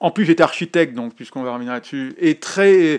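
Here a man talks at a moderate pace with ordinary pitch variation. The background is quiet. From Paris suburbs, France. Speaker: photojournalist. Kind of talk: interview. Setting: home kitchen. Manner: halting.

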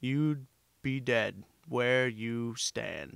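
The speaker is a man using a put-on character voice. He holds a medium pitch. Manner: intense, menacing.

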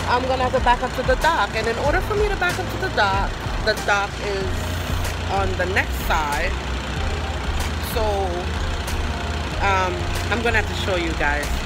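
A woman's voice with long, frequent pauses, dry with no echo, over loud background noise. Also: moderate pace. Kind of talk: casual vlog chat. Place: street. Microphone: phone near.

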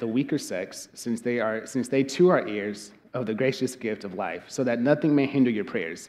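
The man's delivery is fairly quick. His pitch rises and falls in an ordinary way. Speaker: pastor. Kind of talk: sermon scripture reading. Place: church. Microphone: headset.

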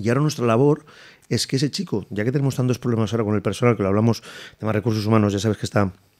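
A man talks with ordinary pitch variation, the background quiet around him. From Madrid. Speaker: chef and restaurant owner; guest. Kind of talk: casual interview. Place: studio. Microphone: studio mic.

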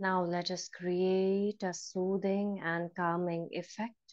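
A woman at a very slow pace with monotone, flat intonation, against a quiet background. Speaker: yoga meditation trainer. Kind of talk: guided meditation, calm step-by-step instructions in mixed Hindi and English. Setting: live online class. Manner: slow, soft-spoken and soothing, with long pauses and repeated bilingual cues. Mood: calm, soothing. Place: home room. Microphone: earbuds.

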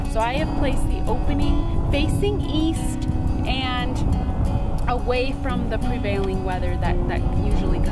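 A woman at a moderate pace, dry sound with no echo, loud music in the background. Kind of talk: tutorial.

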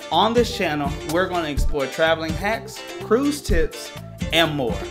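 Over clear background music, a man speaks at a fairly slow pace. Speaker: travel agent / vlogger. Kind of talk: casual talk to camera. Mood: earnest, hopeful. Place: home room.

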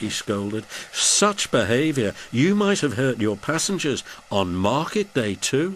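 Someone is doing plain reading aloud here.

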